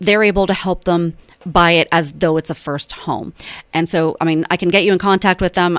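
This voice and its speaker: On a very clean recording with a silent background, a woman with a Pennsylvania accent talks at a fairly quick pace in a monotone, flat intonation, the sound dry and close with no echo. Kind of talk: radio interview. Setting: radio studio. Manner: fast; casual with fillers.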